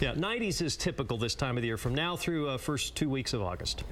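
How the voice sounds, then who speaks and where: Very fast speech from a man with an American accent, vocal fry and very wide pitch swings. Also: fairly high pitch for a man. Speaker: TV weather forecaster. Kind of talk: TV weathercast.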